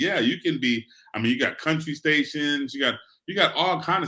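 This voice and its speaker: A man with an American accent speaks in an animated, bright, sharp tone at a fairly quick pace. His pitch is fairly high, with ordinary variation. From New York, South Bronx. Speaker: radio sales director. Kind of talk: interview.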